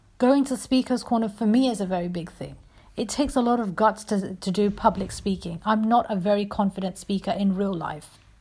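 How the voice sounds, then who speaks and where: A woman's somewhat breathy voice at medium pitch, moderate pace and ordinary pitch variation. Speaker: YouTuber and religious debater. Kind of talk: personal vlog monologue. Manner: hesitant.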